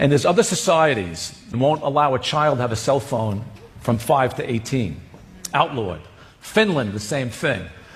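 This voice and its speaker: Noticeable background noise sits behind a man's voice. He speaks at medium pitch and a moderate pace with lively intonation. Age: 70s. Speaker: cardiologist. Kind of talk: interview talk.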